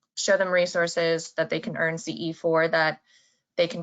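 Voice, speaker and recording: At a moderate pace, a woman speaks at a fairly low pitch. Hers is an unremarkable speaking voice. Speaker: association marketing specialist. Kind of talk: webinar presentation.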